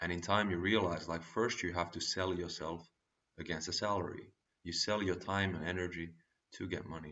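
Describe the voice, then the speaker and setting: Spoken with a non-native accent, the voice moves at a fairly quick pace in a monotone, flat intonation. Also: man. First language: not English. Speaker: vlogger giving life advice. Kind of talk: casual advice monologue.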